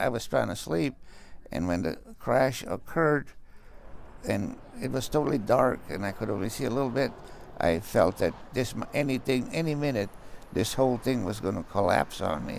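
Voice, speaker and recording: A man speaks at a moderate pace with a medium pitch and some vocal fry. His intonation is lively. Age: 80s+. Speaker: retired police officer. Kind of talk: interview answer. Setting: hospital bed.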